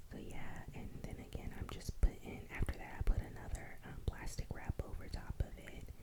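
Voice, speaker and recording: A woman whispers at a moderate pace with hardly any pauses. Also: big swings in loudness. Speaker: ASMR creator. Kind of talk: casual talk to camera. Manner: whispered, chill.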